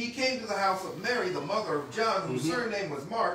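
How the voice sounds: Ordinary pitch variation marks this voice. It is a natural reading voice.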